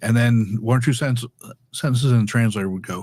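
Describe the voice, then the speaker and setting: A man with a medium pitch talks at a very fast pace. The recording is very clean with a silent background. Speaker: public speaking educator. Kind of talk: podcast interview. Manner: halting, many repeated words.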